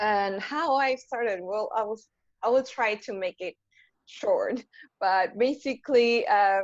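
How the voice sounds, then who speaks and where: A woman with an Argentine accent speaks at a very slow pace with ordinary pitch variation. The background is quiet. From Argentina. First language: Spanish. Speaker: software engineer. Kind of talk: panel talk on video call.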